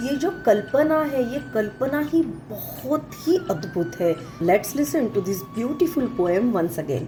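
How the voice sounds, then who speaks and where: A fairly high-pitched woman's voice with very wide pitch swings and hardly any pauses, amid audible room echo and background music. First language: Marathi (speaking Hindi). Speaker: anchor explaining poetry. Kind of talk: poem explanation lecture.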